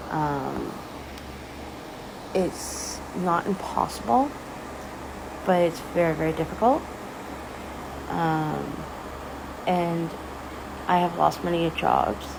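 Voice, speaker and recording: A woman with a Canadian accent speaks at a very slow pace, leaving long, frequent pauses. Noticeable background noise and audible room echo fill the recording. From Ontario, Canada. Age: 30s. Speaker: social media creator. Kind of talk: casual personal talk to camera. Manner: hesitant, many fillers.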